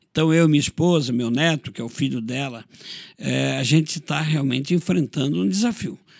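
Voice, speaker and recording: Lively intonation runs through a plain, everyday voice as a man talks at a moderate pace with a fairly high pitch. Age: 60s. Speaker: pastor. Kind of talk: interview testimony.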